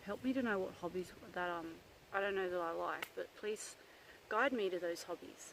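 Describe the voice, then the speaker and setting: Speaking at a moderate pace, a woman with an Australian accent uses a medium pitch. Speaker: psychic medium. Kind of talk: casual vlog talk. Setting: outdoors in the bush. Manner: loud; hesitant, many fillers.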